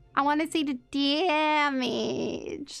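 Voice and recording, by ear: A woman puts on a whiny character voice, high in pitch. Her tone is whiny throughout. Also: fairly even intonation.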